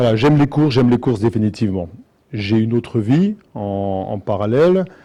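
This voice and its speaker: With a dark, mellow tone, a man talks at medium pitch with ordinary pitch variation. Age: 60s. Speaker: racehorse owner and restaurant franchisee. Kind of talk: public talk. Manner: halting, many hesitations.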